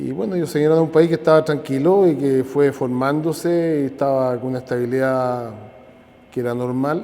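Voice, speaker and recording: This man has a fairly high voice with ordinary pitch variation. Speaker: interviewee. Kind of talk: testimony.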